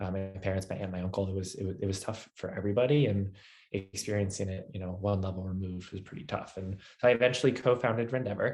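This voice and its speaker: Very fast in pace, this man speaks with a fairly low pitch. His voice is somewhat breathy. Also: ordinary pitch variation. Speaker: tech startup founder and CEO. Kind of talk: webinar presentation. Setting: video webinar.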